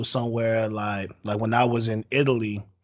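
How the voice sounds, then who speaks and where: An ordinary speaking voice from a man with an American accent, medium pitch, moderate pace. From USA. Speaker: podcast host. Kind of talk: casual chat.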